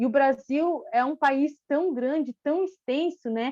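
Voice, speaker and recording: The sound is dry and close, with no echo. A woman talks at a high pitch with ordinary pitch variation. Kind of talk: panel talk. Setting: online live stream. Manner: hesitant, frequent 'né' fillers.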